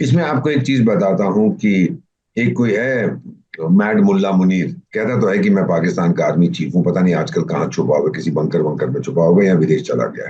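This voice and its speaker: A man speaks at a fairly low pitch and a moderate pace. His pitch swings very widely. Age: 70s. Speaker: retired diplomat. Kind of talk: interview. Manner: animated.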